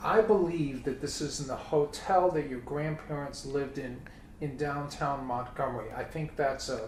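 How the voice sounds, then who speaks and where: A man with an American accent talks at a fairly high pitch and a moderate pace, with ordinary pitch variation. Noticeable background noise and audible room echo fill the recording. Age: 60s. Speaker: family interviewer. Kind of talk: casual chat.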